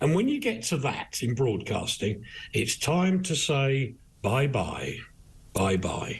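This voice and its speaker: A man talks at a very slow pace, somewhat breathy and fairly high in pitch. His pitch swings very widely while his loudness stays very even. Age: 60s. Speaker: broadcaster, newspaper reviewer. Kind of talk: live news discussion, paper review. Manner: animated.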